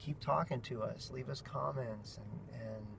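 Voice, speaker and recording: A man's voice with vocal fry. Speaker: family vlogger. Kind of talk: vlog monologue. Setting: in a car. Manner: animated.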